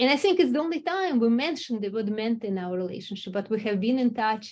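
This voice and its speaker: Speaking very fast with a non-native accent, the voice swings very widely in pitch. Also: woman, fairly high pitch for a woman. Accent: foreign. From Russia. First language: Russian. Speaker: company executive. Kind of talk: interview.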